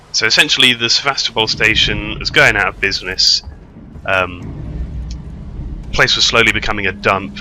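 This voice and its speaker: Amid noticeable background noise, a man with a British accent talks at a fairly quick pace while taking long, frequent pauses. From Britain. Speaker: gamer. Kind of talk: gameplay commentary. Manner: rambling, hesitant.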